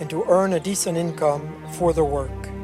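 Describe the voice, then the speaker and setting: Music plays in the background. A man talks with an American accent. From Virginia, USA. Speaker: monk and vineyard worker. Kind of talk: corporate narration.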